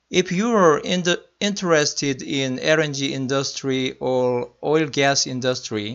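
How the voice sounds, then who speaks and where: A man with a Korean accent, fairly high in pitch, at a fairly slow pace with hardly any pauses. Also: ordinary pitch variation. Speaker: electrical engineer. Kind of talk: lecture. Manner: halting.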